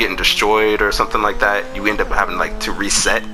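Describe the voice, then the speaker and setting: Music playing behind a man's fairly quick speech. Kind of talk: casual gaming discussion.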